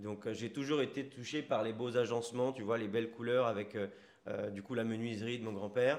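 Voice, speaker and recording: A man talks in a normal speaking voice at a moderate pace, medium in pitch with fairly even intonation. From Paris region, France. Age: 30s. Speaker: entrepreneur, restaurant founder. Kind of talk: casual interview chat. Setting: on location in a sandwich shop.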